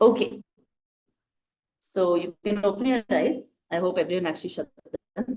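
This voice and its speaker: A soft-spoken woman's voice at a medium pitch, dark and mellow in tone, with ordinary pitch variation, a moderate pace, long and frequent pauses, and a dry, close sound with no echo. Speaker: dance workshop facilitator. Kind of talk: online workshop instruction; guided visualization story. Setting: video call. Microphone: too quiet, unstable internet.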